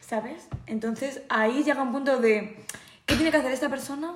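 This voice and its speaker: Against noticeable background noise and audible room echo, a woman with a high voice speaks at a moderate pace. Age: 20s. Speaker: podcast guest, friend of host. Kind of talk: casual chat. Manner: quiet. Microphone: far from the mic.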